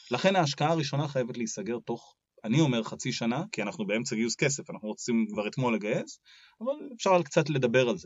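A man speaks at a very fast pace in a medium pitch, his intonation lively and his loudness swinging widely. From Israel and Australia. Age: 30s. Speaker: startup lawyer. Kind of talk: podcast interview.

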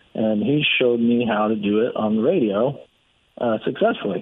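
A man talks at a moderate pace and medium pitch. He has a normal speaking voice with ordinary pitch variation. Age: 30s. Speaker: real estate investor. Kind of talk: casual chat.

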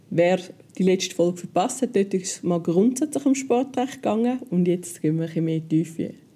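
A woman talks at a moderate pace and medium pitch with lively intonation. Her voice is somewhat breathy with a dark, mellow tone. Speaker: podcast host. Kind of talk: casual interview.

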